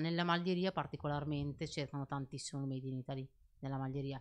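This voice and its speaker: A woman's very deep, low-pitched voice at a very fast pace, with fairly even intonation. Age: young. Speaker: clothing shop owner; podcast guest. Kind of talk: casual chat. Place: studio. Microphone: studio mic.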